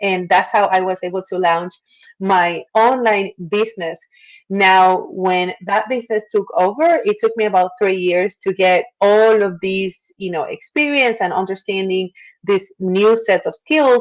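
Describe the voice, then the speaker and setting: In a Puerto Rican accent, a woman speaks at medium pitch with ordinary pitch variation. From Puerto Rico. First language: Spanish. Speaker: marketer and former attorney. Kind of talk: interview.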